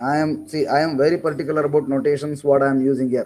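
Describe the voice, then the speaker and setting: A man speaks with an Indian accent at a fairly high pitch. His tone is dark and mellow. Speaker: engineering lecturer. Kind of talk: online class lecture. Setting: online class.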